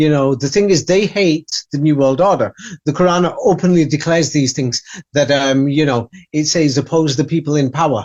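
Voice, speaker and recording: In an English accent, the speaker keeps a moderate pace, with ordinary pitch variation and very even loudness. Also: man. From England. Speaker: author and researcher. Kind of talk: interview. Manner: halting.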